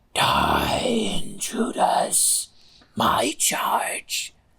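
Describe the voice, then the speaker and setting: This is a put-on character voice. It sounds raspy. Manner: haunting, menacing.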